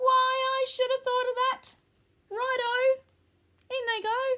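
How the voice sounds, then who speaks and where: A woman's put-on character voice, squeaky and extremely high-pitched, with monotone, flat intonation at a fairly slow pace. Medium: read story. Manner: gleeful.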